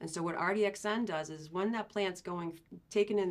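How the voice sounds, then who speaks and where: A woman with a Boston accent at a fairly quick pace. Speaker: agricultural sales representative. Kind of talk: podcast interview. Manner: conversational, many fillers.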